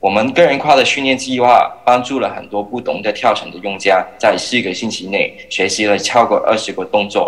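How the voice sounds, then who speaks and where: Noticeable background noise sits behind a man talking at a moderate pace. His pitch varies in an ordinary way. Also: medium pitch for a man. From Hong Kong. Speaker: startup founder and jump rope athlete. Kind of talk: startup pitch. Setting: remote video link.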